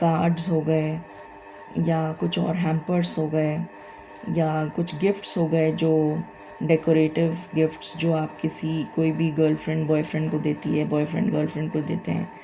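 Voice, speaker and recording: A woman's very deep, low voice, monotone and flat, at very even loudness over music in the background. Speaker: tarot reader. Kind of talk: tarot reading. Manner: hesitant fillers, conversational.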